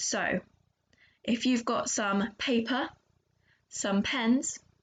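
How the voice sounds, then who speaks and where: A woman is speaking. Her pitch sits fairly high. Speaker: children's church leader. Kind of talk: children's church talk. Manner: loud; animated.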